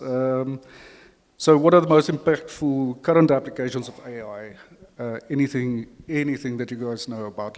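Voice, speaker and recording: Speaking with an Afrikaans accent, a man uses medium pitch and fairly even intonation at a moderate pace. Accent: Afrikaans-inflected English. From South Africa. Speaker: panel facilitator. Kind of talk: panel discussion moderation. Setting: conference stage with audience.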